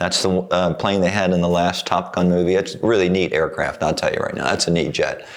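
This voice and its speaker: A man with an American accent speaks at a fairly quick pace in a very deep, low voice, his intonation monotone and flat, over noticeable background noise. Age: 70s. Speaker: painter and former navy pilot. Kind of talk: casual interview chat.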